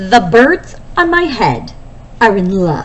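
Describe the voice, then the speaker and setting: A woman performs a put-on character voice, fairly high and swinging very widely in pitch, at a fairly slow pace over clear background noise. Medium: read story. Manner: anxious, dramatic.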